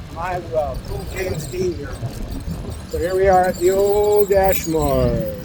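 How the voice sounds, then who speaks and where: Very slow speech from a man over noticeable background noise. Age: 60s. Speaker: food delivery gig driver. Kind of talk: casual vlog talk to camera.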